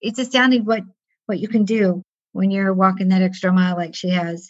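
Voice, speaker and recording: Somewhat breathy, a woman's voice sits at medium pitch. Its pitch variation is ordinary. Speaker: life and stress management coach and podcast host. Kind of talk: interview podcast. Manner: talkative.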